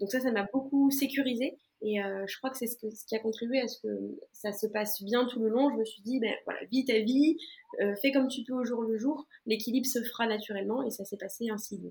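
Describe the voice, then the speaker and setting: Her voice plain and everyday, a woman speaks at a moderate pace and fairly high pitch with fairly even intonation. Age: 20s. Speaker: patient sharing diet experience. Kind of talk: interview testimony.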